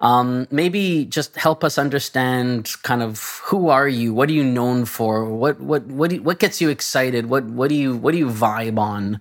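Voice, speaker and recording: Noticeable background noise sits under a man's medium-pitched voice. He talks at a moderate pace with ordinary pitch variation and hardly any pauses. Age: 40s. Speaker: podcast host, games industry professional. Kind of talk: casual interview chat.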